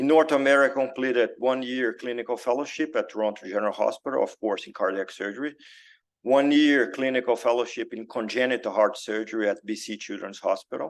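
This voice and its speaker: With a Brazilian accent, a man speaks at a very fast pace in a medium pitch with ordinary pitch variation against a quiet background. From Brazil, Belo Horizonte. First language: Portuguese. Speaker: cardiac surgeon. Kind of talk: lecture. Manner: halting, many fillers.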